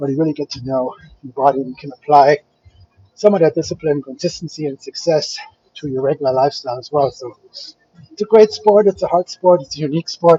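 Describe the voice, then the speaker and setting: A man with a German accent talks very fast in a fairly high voice with ordinary pitch variation. His loudness swings widely. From Germany, Frankfurt. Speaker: fitness vlogger, bodybuilder. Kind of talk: casual chat with live stream viewers.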